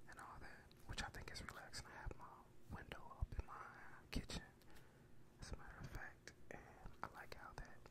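Whispering at a fairly quick pace, a man leaves long, frequent pauses. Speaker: ASMR creator. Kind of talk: ASMR ramble. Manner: whispered, soft-spoken. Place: home room. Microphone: studio mic.

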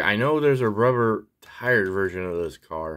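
A man's fairly low-pitched voice at a moderate pace, set against a quiet background. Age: 40s. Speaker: diecast car collector video creator. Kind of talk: casual unboxing haul video. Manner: casual with frequent fillers. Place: home room. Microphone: phone near.

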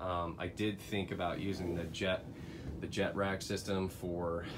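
A man is speaking. Music plays in the background. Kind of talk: casual walkthrough tour. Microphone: phone near.

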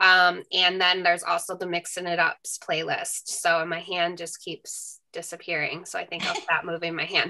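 A woman's bright, sharp voice of fairly low pitch, with monotone, flat intonation and hardly any pauses, against a quiet background. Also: moderate pace. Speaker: webinar co-host. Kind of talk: housekeeping announcements. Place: home room. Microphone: video call.

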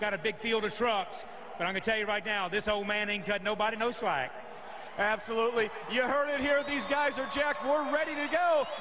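The voice is raised and projected, with lively intonation. Noticeable background noise runs underneath. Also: man, high pitch for a man, fairly quick pace. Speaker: monster truck driver. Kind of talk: pre-event interview soundbite. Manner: confident, trash-talking. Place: stadium. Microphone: handheld.

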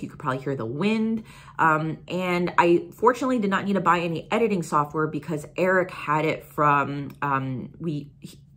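A woman speaks at a moderate pace with hardly any pauses, in a fairly low voice. Her intonation is lively, and her loudness swings widely. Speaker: YouTuber. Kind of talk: casual vlog chat. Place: home room. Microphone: phone near.

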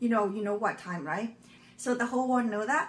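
A somewhat breathy woman's voice with ordinary pitch variation over light background noise. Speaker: frugal living channel host. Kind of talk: casual vlog chat. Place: kitchen. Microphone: phone near.

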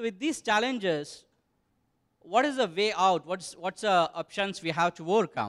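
Against a quiet background, a man with a high pitch talks at a moderate pace with lively intonation. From India. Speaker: tech company executive; conference presenter. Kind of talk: conference presentation. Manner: halting, many fillers. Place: hall. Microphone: handheld.

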